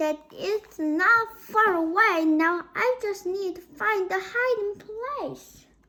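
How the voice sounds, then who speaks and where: In a squeaky put-on character voice, a woman talks at an extremely high pitch and a very slow pace, with hardly any pauses. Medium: read story. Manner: bright, lively.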